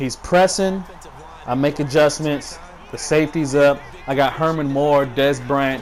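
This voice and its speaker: A man speaks fairly slowly with a fairly high pitch. His intonation stays fairly even over noticeable background noise. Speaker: gaming commentator. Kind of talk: gameplay commentary.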